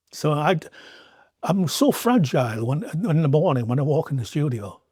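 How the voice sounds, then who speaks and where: Somewhat breathy and dark, mellow in tone, a man's voice moves with lively intonation. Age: 60s. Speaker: artist. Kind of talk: podcast interview. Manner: animated.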